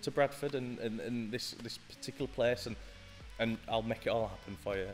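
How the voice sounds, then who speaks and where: Faint music plays in the background as a man talks at a fairly quick pace. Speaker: podcast guest. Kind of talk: interview answer. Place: studio. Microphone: studio mic.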